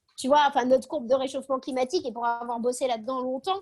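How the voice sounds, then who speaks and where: Her pitch is high. The woman speaks in an animated tone. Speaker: speaker on optimism. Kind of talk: video call talk. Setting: video call. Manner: fast.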